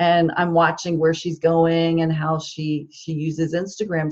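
With a normal speaking voice and an American accent, a woman talks at a fairly slow pace with fairly low pitch. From New Jersey. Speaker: social media marketing consultant. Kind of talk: interview.

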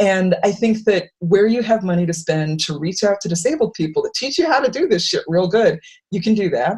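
Somewhat breathy, the voice moves at a fairly quick pace with lively intonation. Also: woman, medium pitch for a woman. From Worcester, Massachusetts. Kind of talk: panel discussion. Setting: video call.

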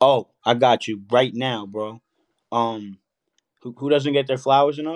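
A man with a New York accent, medium in pitch and fairly slow, with fairly even intonation, big swings in loudness and long, frequent pauses, in a dry, close sound with no echo. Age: 30s. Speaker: rapper. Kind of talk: casual chat.

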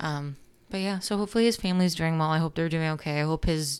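In a very clean recording with a silent background, a woman speaks with a very deep, low pitch and fairly even intonation. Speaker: podcast co-host. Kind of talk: casual chat with true crime storytelling. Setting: home recording. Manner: slurring words.

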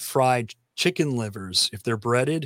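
A man with a Tennessee accent and medium pitch speaks at a moderate pace with ordinary pitch variation, recorded dry and close with no echo, very clean over a silent background. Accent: Southern US (Tennessee). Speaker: podcaster and musician. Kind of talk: interview conversation.

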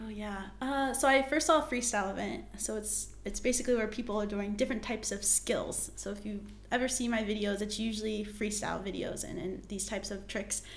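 Amid noticeable background noise and audible room echo, a woman with an American accent talks at a fairly quick pace with hardly any pauses. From US, West Virginia. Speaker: competitive jump roper and performer. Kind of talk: interview.

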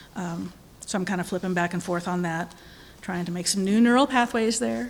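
A woman speaks with ordinary pitch variation. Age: 50s. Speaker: lay speaker at a congregation. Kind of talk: sermon. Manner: halting.

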